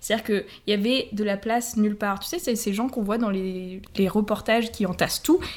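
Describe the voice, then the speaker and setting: A woman talks at a fairly quick pace. Hers is a plain, everyday voice, fairly high in pitch. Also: ordinary pitch variation. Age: 20s. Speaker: English and French teacher. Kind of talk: travel storytelling.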